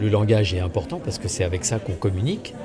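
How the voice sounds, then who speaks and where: A man talking at a fairly quick pace, with audible room echo and crowd noise in the background. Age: 60s. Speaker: life coach. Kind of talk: promotional self-presentation.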